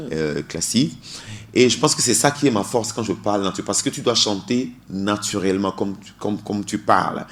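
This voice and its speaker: This man talks at a fairly quick pace in a fairly low voice with lively intonation. His loudness swings widely, and there is noticeable background noise. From Togo. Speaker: singer. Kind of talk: radio interview. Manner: halting, many repetitions.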